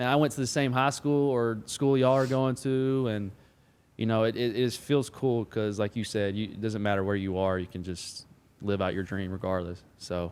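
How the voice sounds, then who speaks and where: A man's medium-pitched voice with ordinary pitch variation and a slight Southern US accent. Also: moderate pace. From Alabama. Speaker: football player, podcast co-host. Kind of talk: casual chat.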